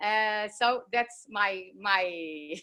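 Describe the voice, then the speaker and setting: Speaking in a Portuguese accent, a woman has a bright, sharp tone, a medium pitch and ordinary pitch variation. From Portugal. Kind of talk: show and tell. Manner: halting.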